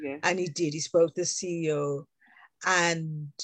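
A British accent, monotone and flat, at a fairly slow pace, with a dry, close sound with no echo and a quiet background. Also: woman. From England, UK. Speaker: education consultant, teacher trainer and author. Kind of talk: casual interview chat.

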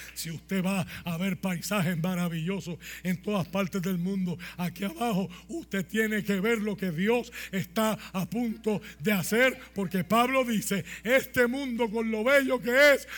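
Over noticeable background noise, a man with a high pitch speaks at a fairly slow pace with ordinary pitch variation. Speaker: pastor. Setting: church with congregation. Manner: animated, fervent, emphatic with dramatic storytelling and humor.

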